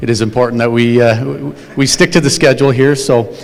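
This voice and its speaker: A plain, everyday voice, a man's, medium-pitched and moving at a fairly quick pace. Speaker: company event host. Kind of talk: corporate meeting speech.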